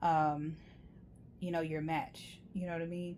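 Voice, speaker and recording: Her voice has a dark, mellow tone, and the woman speaks with monotone, flat intonation. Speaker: tarot reader. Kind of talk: tarot reading monologue. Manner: soft-spoken, laid back.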